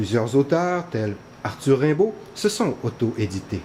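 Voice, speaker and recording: With a dark, mellow tone and a somewhat breathy quality, a man speaks at a fairly high pitch and a fairly slow pace, his pitch swinging very widely. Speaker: interviewer, writers' association president. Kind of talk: interview questions and introduction.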